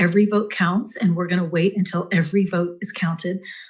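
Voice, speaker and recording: On a very clean recording with a silent background, a woman speaks at medium pitch and a fairly quick pace. Her voice is somewhat breathy, with monotone, flat intonation. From Eastern Kentucky. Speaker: actress and campaign surrogate. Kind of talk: campaign speech.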